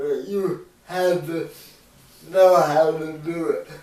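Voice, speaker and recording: Noticeable background noise runs under this man's voice. He speaks very slowly with an American accent. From US Pacific Northwest. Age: 20s. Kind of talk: casual family conversation.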